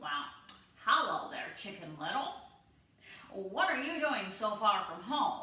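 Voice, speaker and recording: Using a put-on character voice, a woman speaks at a fairly slow pace and medium pitch, with long, frequent pauses and a slight echo. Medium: read story.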